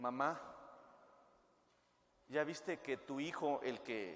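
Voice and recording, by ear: This man's voice sits at a medium pitch with a fairly bright tone. He speaks slowly, with ordinary pitch variation.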